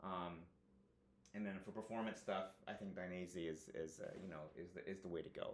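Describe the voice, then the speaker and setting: A man's very deep, low voice in audible room echo. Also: fairly even intonation. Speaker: motorcycle gear reviewer, engineer. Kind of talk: product review monologue. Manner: fast; casual, many fillers.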